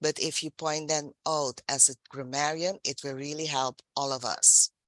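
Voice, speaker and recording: This woman has a very deep, low voice and a non-native accent. She speaks at a moderate pace with monotone, flat intonation, and the sound is dry and close with no echo. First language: not English. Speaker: general evaluator at a speaking club meeting. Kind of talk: meeting evaluation feedback.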